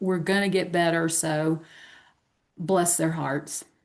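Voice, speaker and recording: Against a quiet background, a speaker with a Southern US accent talks at a very slow pace. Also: woman. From US South. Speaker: podcast co-host. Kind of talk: casual chat. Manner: animated.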